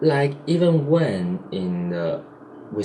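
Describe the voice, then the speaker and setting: Over noticeable background noise and audible room echo, a man with a Chinese accent speaks with lively intonation. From Taiwan. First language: Mandarin Chinese. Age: 20s. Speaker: vlogger. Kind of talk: casual vlog monologue. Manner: halting, self-correcting.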